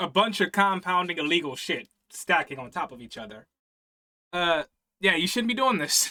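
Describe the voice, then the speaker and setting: A man's high, bright, sharp voice with lively intonation and big swings in loudness at a moderate pace, in a dry, close sound with no echo. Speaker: reaction youtuber. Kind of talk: reaction commentary. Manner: casual.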